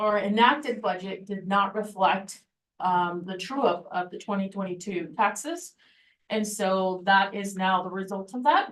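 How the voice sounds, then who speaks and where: A woman talks at a fairly slow pace in an ordinary speaking voice. Her medium pitch has ordinary variation. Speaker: school finance officer. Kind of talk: board meeting presentation.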